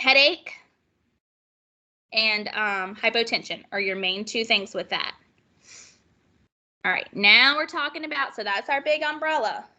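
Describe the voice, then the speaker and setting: Against a quiet background, a woman talks at a fairly slow pace with long, frequent pauses, using a bright, sharp, animated tone, fairly high pitch and lively intonation. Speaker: nursing instructor. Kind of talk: lecture.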